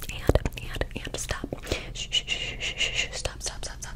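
A soft-spoken woman whispers against loud background noise. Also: moderate pace. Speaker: ASMR creator. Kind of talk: soft ASMR chat. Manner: soft close-mic ASMR whisper. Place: home room. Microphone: studio mic.

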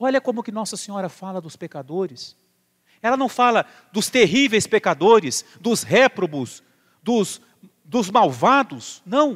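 Against a quiet background, a man with a Brazilian accent and a high pitch speaks at a fairly slow pace, his loudness swinging widely. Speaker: priest. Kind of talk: sermon. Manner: formal, earnest; calm, measured, pastoral. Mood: earnest, serious. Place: church.

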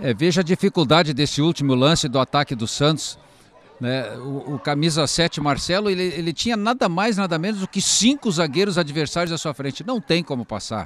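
At a fairly quick pace, a man talks in a high pitch with lively intonation. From southern Brazil (Rio Grande do Sul). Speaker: football commentator. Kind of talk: live commentary. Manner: halting, repeats words.

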